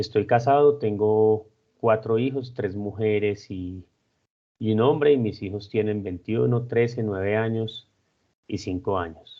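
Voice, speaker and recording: A man with a fairly low pitch speaks at a fairly slow pace, keeping his intonation fairly even. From Colombia, Armenia (coffee region). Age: 40s. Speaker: civil engineer, project director. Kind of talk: interview, personal and career account. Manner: hesitant, with fillers.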